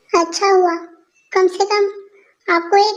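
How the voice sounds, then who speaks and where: A woman's put-on character voice in a flat monotone at a fairly slow pace. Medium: fan dub. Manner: earnest, sincere.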